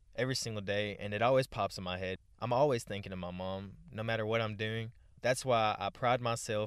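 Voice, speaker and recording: With an American accent, a man speaks in an unremarkable speaking voice, fairly low in pitch and fairly even in intonation. His pace is moderate, over a quiet background. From US, adopted from Ukraine at two. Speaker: podcast host. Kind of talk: personal reflective monologue.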